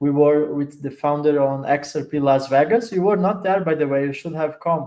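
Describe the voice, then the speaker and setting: With an Italian accent, a man with a fairly high pitch speaks at a fairly quick pace and ordinary pitch variation. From Italy. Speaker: crypto project adoption lead. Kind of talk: casual interview chat.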